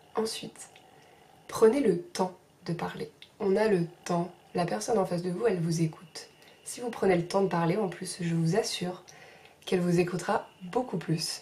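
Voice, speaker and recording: A soft-spoken woman talks at a moderate pace and medium pitch, with ordinary pitch variation. She leaves long, frequent pauses. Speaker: sophrology trainee and vlogger. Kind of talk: advice vlog.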